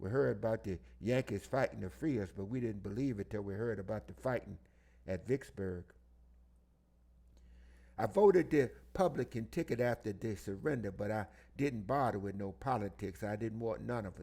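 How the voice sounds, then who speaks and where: With vocal fry and a dark, mellow tone, a man speaks at a fairly low pitch, leaving long, frequent pauses. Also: lively intonation, moderate pace. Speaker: audiobook reader. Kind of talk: oral history reading.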